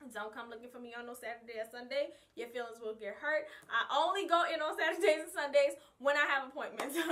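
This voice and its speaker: The voice is raised and projected, moving at a fairly quick pace in a bright, sharp tone. Its very wide pitch swings give it an animated tone. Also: woman. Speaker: vlogger and hair stylist. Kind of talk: casual vlog talk. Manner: loud.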